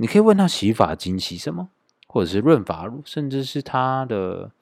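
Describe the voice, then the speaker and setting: A man's moderate-paced speech comes through on a very clean recording, the background silent. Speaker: podcast host. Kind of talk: solo casual monologue. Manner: many filler particles.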